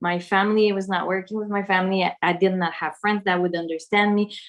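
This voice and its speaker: Her pitch is medium for a woman and her intonation fairly even. She speaks at a fairly quick pace. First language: French. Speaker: spiritual content creator. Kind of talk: casual conversation. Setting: video call.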